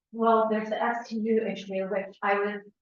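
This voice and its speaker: In an American accent, a woman with a fairly high pitch speaks at a moderate pace in a monotone, flat delivery, with audible room echo around her. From Woodstock, New York, US. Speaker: resident speaking at public hearing. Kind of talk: public comment at town meeting. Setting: town hall meeting. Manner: halting, many fillers.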